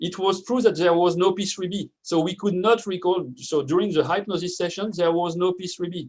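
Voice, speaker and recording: A man with a French accent speaks at a fairly quick pace with hardly any pauses. His voice is high-pitched and his intonation fairly even. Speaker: neuroscience researcher. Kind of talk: conference talk.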